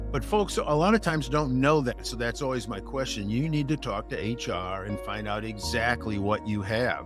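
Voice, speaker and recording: A man talking with hardly any pauses over music in the background. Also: moderate pace. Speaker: insurance agent. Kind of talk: casual talk to camera.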